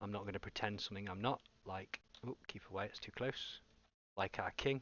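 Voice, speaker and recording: A man with an English accent speaks at a moderate pace. His pitch is fairly low, with ordinary variation. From England. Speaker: gaming streamer. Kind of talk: live gameplay commentary.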